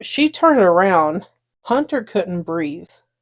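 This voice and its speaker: In a Southern US accent, a woman speaks at a medium pitch and a fairly slow pace with lively intonation, in a dry, close sound with no echo. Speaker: podcast co-host. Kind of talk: casual chat. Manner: halting.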